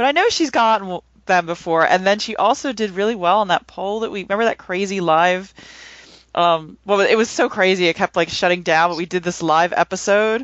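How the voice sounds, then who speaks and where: A woman speaks at a medium pitch with ordinary pitch variation. Hers is a plain, everyday voice. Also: fairly quick pace. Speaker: podcast panelist. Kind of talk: casual discussion.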